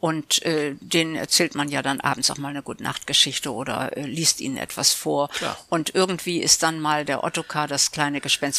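A woman's very deep, low voice with a bright, sharp tone, a moderate pace and fairly even intonation. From Oldenburg, northern Germany. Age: 70s. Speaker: author and reading club co-founder. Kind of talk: casual interview. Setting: in her living room.

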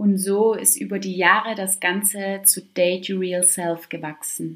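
The recording is very clean against a silent background. Here a woman talks very slowly. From Stuttgart, southwest Germany. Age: 20s. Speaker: fitness and wellness coach, podcast host. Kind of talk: solo podcast monologue.

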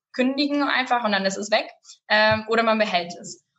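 At a fairly quick pace, a woman with a fairly high pitch speaks in a plain, everyday voice. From Lower Saxony, near Bremen-Oldenburg. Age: 20s. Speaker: family business representative and student. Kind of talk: interview. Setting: studio.

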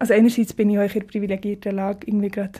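A woman with a fairly high, somewhat breathy voice and a dark, mellow tone speaks very fast in a monotone, flat delivery. The recording is very clean with a silent background. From Switzerland, Biel (Seeland). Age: 20s. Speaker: singer-songwriter, music student. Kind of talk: casual interview.

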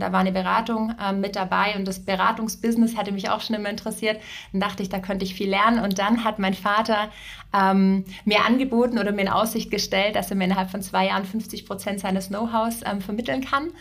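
Very fast, somewhat breathy female voice at a medium pitch, with fairly even intonation. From southern Germany, Ravensburg area. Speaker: succession and career coach. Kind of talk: casual interview. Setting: in-person studio visit.

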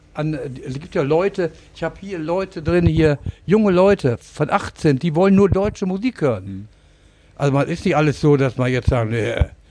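At a moderate pace, the voice carries a dark, mellow tone and lively intonation. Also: man, fairly high pitch for a man. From Lower Saxony, Germany. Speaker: singer and pub owner. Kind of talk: casual interview. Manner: halting.

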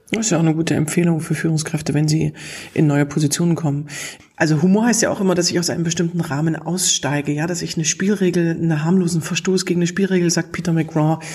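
A very fast pace over noticeable background noise. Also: woman, fairly low pitch for a woman. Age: 40s. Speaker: humor trainer and podcast host. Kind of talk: interview. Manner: lively, laughs often.

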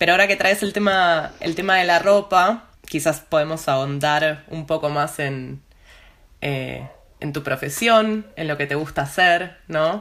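A woman with a very deep, low pitch talks at a fairly slow pace, her pitch moving in an ordinary way. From Argentina. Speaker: podcast host. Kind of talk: interview conversation. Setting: video call.

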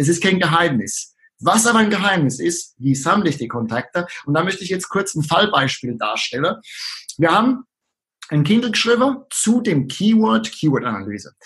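His pitch swings very widely. A man with a high voice talks at a moderate pace. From southern Palatinate, Germany. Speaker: online marketer. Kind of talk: casual interview.

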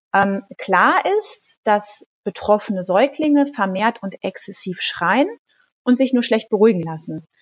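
A somewhat breathy woman at a moderate pace, lively in intonation, with a dry, close sound and no echo. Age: 40s. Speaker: midwife and pharmacist. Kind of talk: expert interview.

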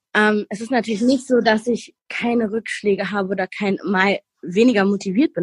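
Close and dry with no echo, a woman's somewhat breathy voice moves at a fairly quick pace, with medium pitch and ordinary pitch variation. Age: 30s. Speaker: weight-loss program participant, medical assistant. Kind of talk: interview.

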